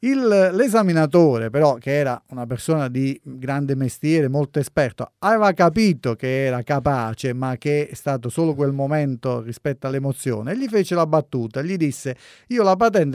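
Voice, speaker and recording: A man with a plain, everyday voice talks at a moderate pace in a fairly high pitch with lively intonation. The recording is very clean and dry, with a close sound, no echo and a silent background. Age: 40s. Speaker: driving instructor and road safety expert. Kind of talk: radio talk show.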